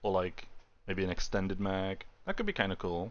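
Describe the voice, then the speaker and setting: This man speaks with a British accent. His pace is fairly quick and his intonation lively. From Britain. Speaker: gaming streamer. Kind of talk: live gameplay stream chat. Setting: live stream. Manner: loud.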